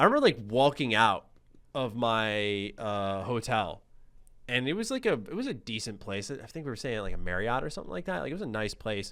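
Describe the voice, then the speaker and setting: On a very clean recording with a silent background, a man with an American accent talks at a fairly quick pace in an animated tone with lively intonation. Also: medium pitch for a man. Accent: slight New York accent on some words. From US, New York City. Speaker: gaming YouTuber. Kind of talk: casual chat.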